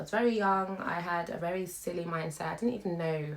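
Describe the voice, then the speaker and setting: This woman has a British accent. Her pitch is very deep and low. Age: 20s. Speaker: YouTuber, stay-at-home mother. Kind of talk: casual vlog chat.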